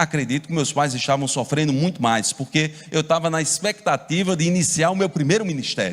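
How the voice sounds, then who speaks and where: The speaker is a man with a Paraíba accent. The recording is very clean, with a silent background. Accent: Paraíba (northeastern Brazilian). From Brazil, Paraíba (João Pessoa). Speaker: pastor. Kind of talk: sermon.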